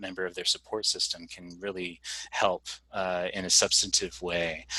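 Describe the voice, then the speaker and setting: Here a man talks in a very deep, low pitch with a bright, sharp tone. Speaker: outreach specialist presenting a health program. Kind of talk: training presentation. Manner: fast; halting, many fillers.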